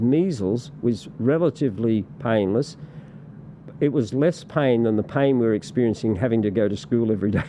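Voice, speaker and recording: Over noticeable background noise, a man with an Australian accent talks at a moderate pace and medium pitch with ordinary pitch variation. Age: 60s. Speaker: political party representative. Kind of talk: podcast interview. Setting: studio. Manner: halting, many repetitions and fillers.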